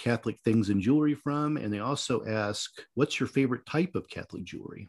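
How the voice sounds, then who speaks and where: A man with a plain, everyday voice speaks at a medium pitch with ordinary pitch variation and hardly any pauses, in a dry, close sound with no echo. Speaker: podcast producer. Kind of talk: casual Q&A chat, reading listener questions.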